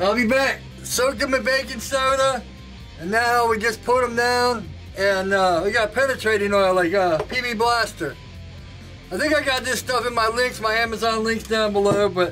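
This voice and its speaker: A raised, projected voice moves at a moderate pace with very even loudness and ordinary pitch variation, while faint music plays in the background. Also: man. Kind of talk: casual tutorial vlog. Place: workshop.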